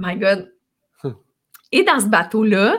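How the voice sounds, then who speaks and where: Here is a woman with a medium-pitched voice. She speaks at a fairly slow pace. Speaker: ocean rower and adventurer, speaker. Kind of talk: interview conversation.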